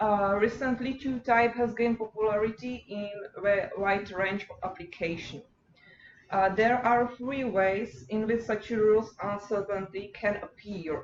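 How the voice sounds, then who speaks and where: Over noticeable background noise, a woman speaks at a fairly slow pace, her fairly high voice showing ordinary pitch variation. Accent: Czech. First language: Czech. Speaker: PhD student. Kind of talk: lecture. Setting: workshop seminar. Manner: halting.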